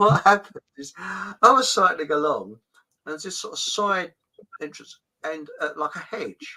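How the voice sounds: A man speaks at a fairly high pitch with a bright, sharp tone. His pace is fairly slow and his pitch variation ordinary.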